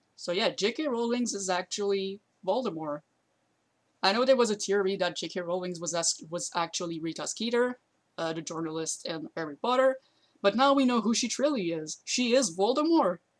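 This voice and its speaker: With a non-native accent and lively intonation, a woman of medium pitch speaks at a moderate pace in a very clean recording with a silent background. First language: not English. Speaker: YouTuber commentator. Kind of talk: commentary video while streaming to friends. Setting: live stream on voice chat with friends. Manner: halting, with fillers.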